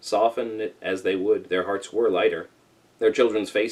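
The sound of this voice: Text is being read out. The voice stays unforced.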